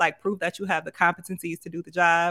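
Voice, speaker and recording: The voice has a bright, sharp tone and monotone, flat intonation at a very fast pace. The sound is dry and close, with no echo. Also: woman. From Grand Rapids, Michigan. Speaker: content creator and entrepreneur. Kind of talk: casual interview.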